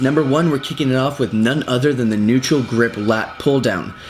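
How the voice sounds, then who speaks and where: Noticeable background noise sits behind this recording. A man speaks in a medium pitch with ordinary pitch variation. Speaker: fitness instructor. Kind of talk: tutorial. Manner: fast.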